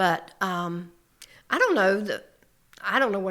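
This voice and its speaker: A woman's bright, sharp voice, fairly low in pitch, with a North Carolina accent. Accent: Southern US (North Carolina). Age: 70s. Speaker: small business owner. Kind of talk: casual chat.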